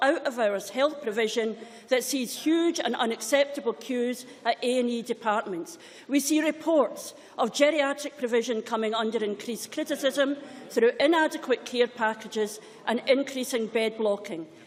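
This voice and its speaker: The speaker is a woman with a high pitch. Her pitch variation is ordinary. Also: moderate pace. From Scotland. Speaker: politician. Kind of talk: parliamentary speech.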